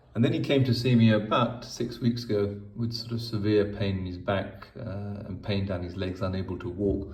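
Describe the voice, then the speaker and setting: With noticeable noise behind him, a man speaks at a moderate pace with hardly any pauses, a fairly low pitch and ordinary pitch variation. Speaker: spinal surgeon. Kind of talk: patient case explanation.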